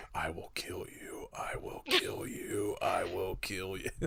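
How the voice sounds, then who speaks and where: A raspy, extremely high-pitched put-on character voice from a man. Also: fairly slow pace. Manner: flat, monotone; menacing.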